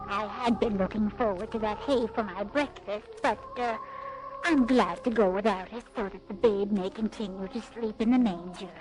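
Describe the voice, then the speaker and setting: Over clear background noise, someone performs a put-on character voice at a moderate pace. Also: female-sounding voice, fairly high pitch for a woman. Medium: audio drama.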